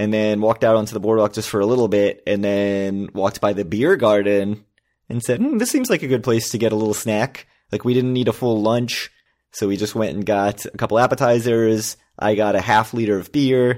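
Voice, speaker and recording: A plain, everyday voice at a fairly quick pace with fairly even intonation, on a very clean recording with a silent background. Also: man, fairly low pitch for a man. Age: 40s. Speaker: podcast co-host. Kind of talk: casual chat.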